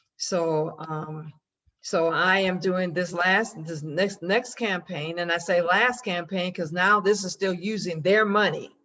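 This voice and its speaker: Her pace is fairly slow and her intonation fairly even. The woman speaks at a medium pitch. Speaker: group member sharing marketing update. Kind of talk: group meeting update. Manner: halting, many false starts.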